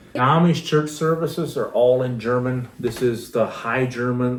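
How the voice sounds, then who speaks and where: The speaker has a Pennsylvania accent and ordinary pitch variation at a moderate pace. Audible room echo surrounds the voice. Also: man. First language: Pennsylvania Dutch. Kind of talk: casual chat.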